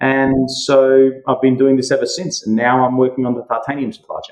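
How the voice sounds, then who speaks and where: The speaker is a man. He has an Australian accent. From Western Australia (Perth). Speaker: mining and metals entrepreneur. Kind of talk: podcast interview.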